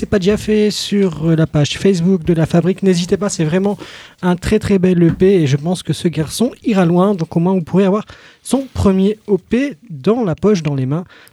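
A man talks at a moderate pace in a high pitch with a dark, mellow tone and ordinary pitch variation, the sound dry and close with no echo. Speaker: radio host. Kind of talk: radio interview. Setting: studio. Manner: animated.

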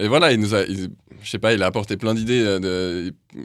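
Over a silent background on a very clean recording, a man with a normal speaking voice and a fairly low pitch talks fairly quickly with fairly even intonation. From Geneva, Switzerland. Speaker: rock drummer. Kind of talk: casual radio interview.

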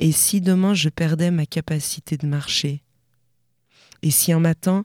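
Recorded very cleanly against a silent background, with a dry, close sound and no echo, a woman speaks very slowly in a very deep, low voice with a dark, mellow tone and fairly even intonation. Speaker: slam poet. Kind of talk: slam poem performance, poetic spoken word. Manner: rhythmic, lyrical, building intensity.

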